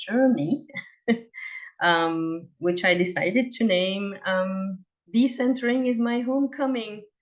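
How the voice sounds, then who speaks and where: A woman speaks with a French accent and ordinary pitch variation. Her pace is fairly slow. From Belgium, Liège (French-speaking). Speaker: cross-cultural consultant, presenter. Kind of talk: presentation.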